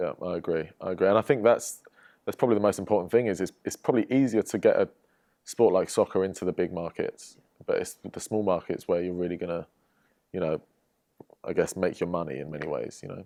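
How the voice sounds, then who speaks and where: In a dry, close recording with no echo, a man talks very fast in a very deep, low pitch with a dark, mellow tone and ordinary pitch variation. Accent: English. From England, London. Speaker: professional footballer. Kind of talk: podcast interview. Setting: studio.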